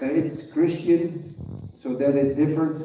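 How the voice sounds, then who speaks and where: With a Dutch accent and a dark, mellow tone, a man speaks at a fairly high pitch and a fairly slow pace, his intonation monotone and flat, with audible room echo. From Netherlands. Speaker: veterinarian. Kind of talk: lecture. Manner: halting.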